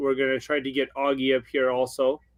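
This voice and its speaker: A man speaks at medium pitch. He has a slight Ukrainian accent. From Ukraine. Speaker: Christmas light installer. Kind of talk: live webinar interview. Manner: slower, hesitant.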